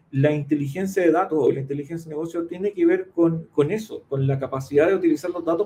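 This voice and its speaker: Speaking at a very fast pace, a man uses a high pitch and a dark, mellow tone with fairly even intonation. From Chile, Concepción area. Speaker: data analytics consultant and accountant. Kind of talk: interview. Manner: halting, frequent fillers.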